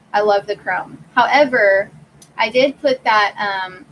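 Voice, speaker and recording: Over noticeable background noise, a woman talks with a fairly high pitch and ordinary pitch variation. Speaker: YouTuber. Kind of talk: livestream Q&A.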